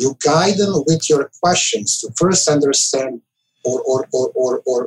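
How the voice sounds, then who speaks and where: A man with a Serbian accent at a fairly slow pace, in a dry, close sound with no echo. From former Yugoslavia (Serbia). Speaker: IT director. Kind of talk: casual interview. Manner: halting.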